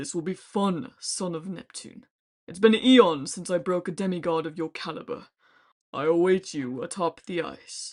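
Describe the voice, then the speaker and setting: A woman puts on a booming character voice at a fairly low pitch, speaking at a moderate pace over a quiet background. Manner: menacing, boastful.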